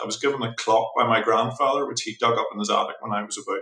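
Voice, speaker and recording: A man with a Northern Irish accent at a very fast pace. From Northern Ireland, Belfast. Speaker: watchmaker. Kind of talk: interview conversation. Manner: halting, many repetitions.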